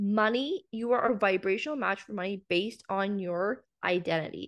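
Against a quiet background, a woman with a Canadian accent uses a plain, everyday voice at medium pitch and a moderate pace. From central Canada, small town. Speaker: business mindset coach. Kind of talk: casual interview.

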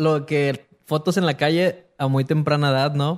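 The speaker is a man with a fairly high pitch. His tone is animated and his pace fairly slow. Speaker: podcast host. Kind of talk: casual chat.

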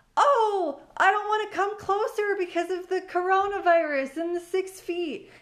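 A woman performs a put-on character voice at an extremely high pitch. She talks at a moderate pace. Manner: mocking, dismissive.

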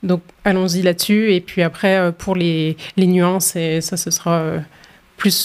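Her pitch is fairly low and her intonation monotone and flat. The woman speaks at a fairly slow pace. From France. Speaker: women's rights organization worker. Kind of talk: panel discussion.

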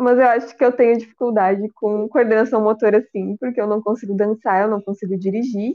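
A woman with a fairly high pitch talks at a fairly quick pace, keeping fairly even intonation and hardly any pauses. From Rio Grande do Sul, Brazil. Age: 30s. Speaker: podcast co-host. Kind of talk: casual chat.

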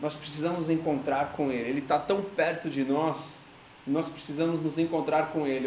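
A man speaks with fairly even intonation. Noticeable background noise and audible room echo surround him. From Brazil. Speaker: pastor. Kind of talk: sermon.

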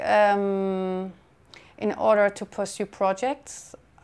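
In a very clean recording with a silent background, a woman at medium pitch talks at a very slow pace. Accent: German. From Germany. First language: German. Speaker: documentary photographer. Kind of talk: interview. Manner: hesitant, with fillers.

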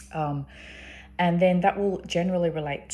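The speaker has an Australian accent and vocal fry. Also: woman. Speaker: sex worker and video host. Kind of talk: solo video monologue discussing research. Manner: halting, filled with ums and word-finding pauses.

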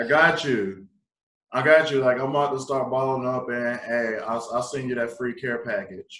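Moderate pace from a man with a South Carolina accent, medium pitch and fairly even intonation. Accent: Southern US (South Carolina). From US South, South Carolina (Pee Dee region). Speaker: podcast co-host. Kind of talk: casual interview.

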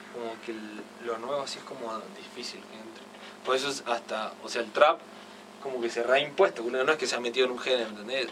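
Amid noticeable background noise, a man speaks at a fairly quick pace with fairly even intonation, long and frequent pauses, and big swings in loudness. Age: 20s. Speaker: musician. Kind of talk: casual interview.

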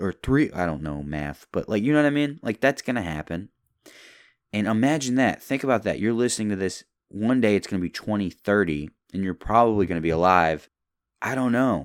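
An ordinary speaking voice, a man with an American accent talks at a fairly quick pace, fairly low pitch and lively intonation in a dry, close sound with no echo. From US South, Louisville, Kentucky. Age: 20s. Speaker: podcast host. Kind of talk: casual solo monologue. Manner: rambling, laid-back.

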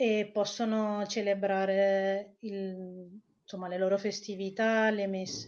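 A woman with a Spanish accent, fairly high in pitch, at a very slow pace. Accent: Italian with a Spanish lilt. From Italy. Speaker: researcher on Iran. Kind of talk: interview.

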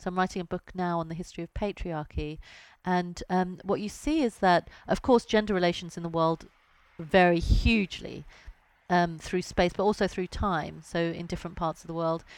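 With a British accent, a woman speaks at a moderate pace in a fairly low pitch and fairly even intonation, on a very clean recording with a silent background. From Britain. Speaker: science journalist and author. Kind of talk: interview.

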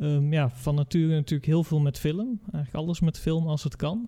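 Here a man speaks at a fairly high pitch in a dark, mellow tone. The sound is dry and close, without echo. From Curaçao. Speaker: design teacher. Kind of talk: casual chat.

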